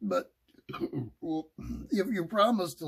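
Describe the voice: Lively intonation and plain reading aloud, set against a quiet background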